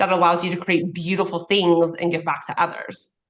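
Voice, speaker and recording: A woman talks at a fairly quick pace. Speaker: podcast host. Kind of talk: casual chat. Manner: loud.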